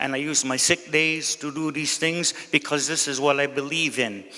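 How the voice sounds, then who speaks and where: Over noticeable background noise, a man talks at a moderate pace in a fairly high voice with fairly even intonation. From Kahnawake, Quebec (Mohawk community). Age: 60s. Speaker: council candidate, community elder. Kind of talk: campaign speech. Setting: community hall with audience.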